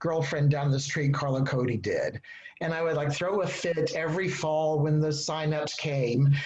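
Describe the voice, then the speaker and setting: In a room with audible echo, a man with an American accent talks at a fairly slow pace, his pitch fairly high and his intonation fairly even. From Texas. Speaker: novelist. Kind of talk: panel discussion. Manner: halting.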